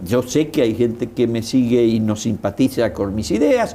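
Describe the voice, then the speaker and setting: A man's medium-pitched voice moves at moderate speed, its pitch rising and falling in an ordinary way. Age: 60s. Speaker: political commentator. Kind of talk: interview. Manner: halting.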